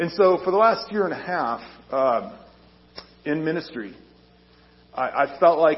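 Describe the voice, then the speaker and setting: Over noticeable background noise and audible room echo, a man talks at a moderate pace with lively intonation and a fairly high pitch. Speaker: army chaplain. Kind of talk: sermon. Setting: church. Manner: loud.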